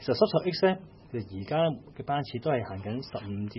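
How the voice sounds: Lively intonation marks this man's fast-paced delivery.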